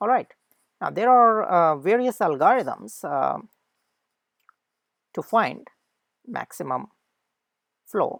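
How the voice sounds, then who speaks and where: A woman with a non-native accent and a medium pitch speaks at a very slow pace with long, frequent pauses and very wide pitch swings, in a very clean, dry, close recording with a silent background and no echo. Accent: non-native English pronunciation. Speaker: lecturer. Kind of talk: lecture. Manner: halting, many fillers.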